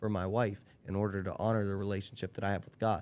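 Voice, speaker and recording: Very fast and in a fairly low voice, a man speaks with monotone, flat intonation in a very clean recording with a silent background. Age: 30s. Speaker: podcast guest, friend of host. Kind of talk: casual chat.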